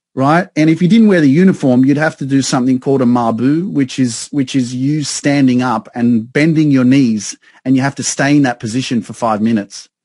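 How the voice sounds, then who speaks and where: A man with an Australian accent and a dark, mellow tone at medium pitch, talking at a fairly quick pace with hardly any pauses and ordinary pitch variation, over a quiet background. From Sydney, Australia. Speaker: success coach. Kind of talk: casual chat. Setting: video call.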